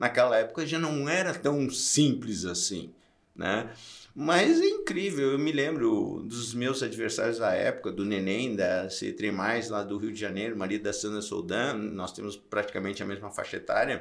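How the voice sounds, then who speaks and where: Audible room echo surrounds a man speaking at a moderate pace. His pitch is medium, and his intonation is lively. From interior of Santa Catarina, Brazil (Curitibanos). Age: 60s. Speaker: triathlon event organizer and entrepreneur. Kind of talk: casual interview.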